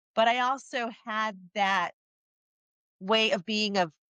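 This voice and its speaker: Her tone is bright and sharp, with a Midwestern accent. The woman's intonation stays fairly even, and the sound is dry and close with no echo. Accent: Midwest. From Chicago, US Midwest. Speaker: HR executive. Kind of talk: interview.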